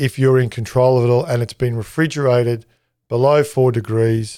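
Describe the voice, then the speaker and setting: On a very clean recording with a silent background, a man with an Australian accent speaks at a moderate pace, medium in pitch, with a dark, mellow tone and fairly even intonation. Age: 50s. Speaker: chef and catering consultant. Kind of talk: interview. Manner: hesitant, many fillers.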